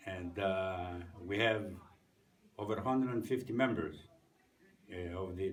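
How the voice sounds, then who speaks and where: Speaking in a Greek accent, a man has a fairly low pitch and a fairly slow pace. Audible room echo surrounds his voice. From Greece. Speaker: war veteran. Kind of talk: interview testimony. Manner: halting, many fillers.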